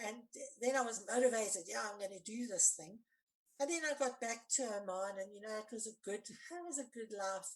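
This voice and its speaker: A woman with a plain, everyday voice speaks at a fairly high pitch, with ordinary pitch variation. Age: 60s. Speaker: forgiveness coach and anti-violence activist. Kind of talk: podcast interview, personal testimony.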